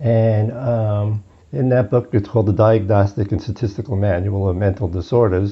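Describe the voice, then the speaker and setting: A man talks with fairly low pitch and a somewhat breathy sound. His intonation stays fairly even. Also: moderate pace. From US, Brooklyn, New York. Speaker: psychologist. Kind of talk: interview conversation. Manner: hesitant, with fillers.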